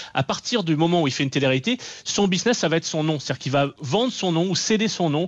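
The sound is dry and close with no echo as a man speaks at a high pitch with lively intonation. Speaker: journalist. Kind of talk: radio interview.

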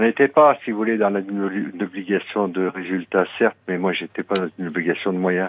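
This man's voice sits very deep and low, with ordinary pitch variation. He keeps a moderate pace and hardly any pauses. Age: 60s. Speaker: radio caller. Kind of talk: personal confession on call-in radio. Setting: phone call. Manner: halting, hesitant.

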